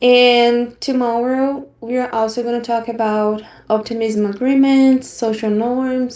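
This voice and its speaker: A dark, mellow tone in a Brazilian accent, fairly slow and delivered with monotone, flat intonation. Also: woman. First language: Portuguese. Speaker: online course trainer. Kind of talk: online training session presentation. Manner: halting, frequent fillers.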